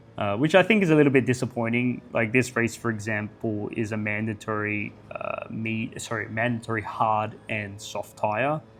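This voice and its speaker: With music in the background, a man of medium pitch talks at a moderate pace with hardly any pauses and ordinary pitch variation. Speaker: gaming youtuber. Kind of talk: casual video commentary. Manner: halting, self-correcting.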